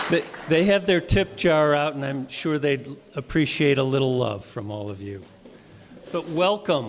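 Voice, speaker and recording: Noticeable background noise sits behind a man whose fairly high voice carries lively intonation. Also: moderate pace, big swings in loudness. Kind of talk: event host welcome.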